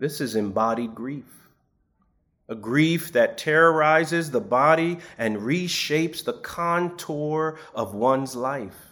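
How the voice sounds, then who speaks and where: Very clean recording, silent background, and a man's fairly high, bright, sharp voice at a very slow pace with lively intonation. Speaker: preacher. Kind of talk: sermon, homily in a church service. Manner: measured, formal pulpit delivery.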